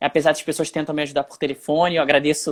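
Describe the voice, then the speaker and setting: With a normal speaking voice, a man talks at a fairly quick pace and fairly high pitch in a dry, close sound with no echo. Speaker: journalist and youtuber. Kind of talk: live stream interview. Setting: Instagram live video, home alone.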